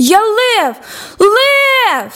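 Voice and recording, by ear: Putting on a character voice, a woman speaks very slowly in a bright, sharp tone, her extremely high pitch making big swings.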